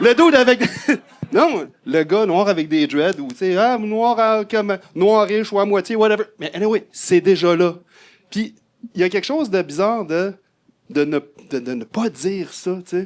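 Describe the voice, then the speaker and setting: A man's high-pitched voice with a Quebec accent and long, frequent pauses. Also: lively intonation, fairly slow pace. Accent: Québécois. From Quebec City, Quebec. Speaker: audience member. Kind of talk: panel discussion.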